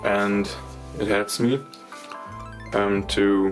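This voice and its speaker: Music is playing behind the voice. The man's pitch is fairly low. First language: not English. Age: 20s. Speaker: knifemaker. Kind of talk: workshop tutorial talk to camera.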